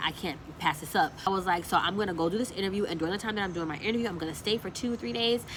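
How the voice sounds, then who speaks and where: A woman at a very fast pace over noticeable background noise. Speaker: lifestyle vlogger. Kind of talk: casual storytelling vlog.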